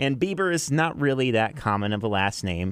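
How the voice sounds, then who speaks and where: A man speaks in a plain, everyday voice at a fairly quick pace, his intonation lively. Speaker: country radio DJ, afternoon drive host. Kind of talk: radio show host patter. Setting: radio station broadcast. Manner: upbeat, chatty.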